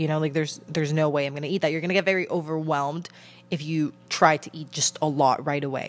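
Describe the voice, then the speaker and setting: A woman's very deep, low voice at a fairly quick pace, fairly even in intonation, with faint music in the background. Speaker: podcast host. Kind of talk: casual podcast advice talk. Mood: calm, earnest, supportive. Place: home room. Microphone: handheld.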